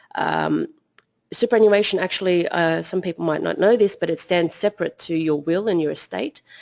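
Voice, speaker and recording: Here a woman talks in an Australian accent at a fairly quick pace. The background is quiet. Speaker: financial advisor. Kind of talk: webinar presentation. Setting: online webinar. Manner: hesitant, many fillers.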